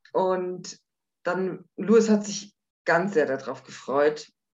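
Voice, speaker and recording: A woman's voice sits fairly low in pitch. It moves up and down in an ordinary way. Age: 50s. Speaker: widow sharing personal story. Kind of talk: interview testimony.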